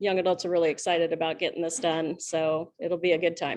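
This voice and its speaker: In an American accent, the speaker delivers everything in a flat monotone against a quiet background. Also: woman. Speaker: student club advisor. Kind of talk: club meeting report. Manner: halting, many fillers.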